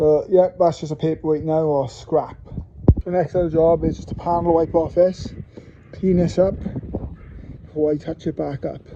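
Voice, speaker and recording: With a Welsh accent, a man mumbles at a moderate pace in a monotone, flat intonation, leaving long, frequent pauses. Noticeable background noise is present. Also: fairly high pitch for a man. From Wales. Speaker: car enthusiast doing repairs. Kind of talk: casual talk to camera, repair vlog. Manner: mumbling.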